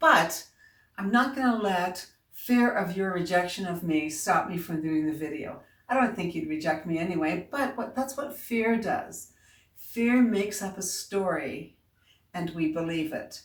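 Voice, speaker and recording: A woman with a Newfoundland accent speaks at a fairly slow pace in a medium pitch, her intonation lively. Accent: Newfoundland accent, drops and adds H's. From Newfoundland, Canada. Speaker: self-help coach. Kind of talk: motivational video talk. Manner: casual, conversational.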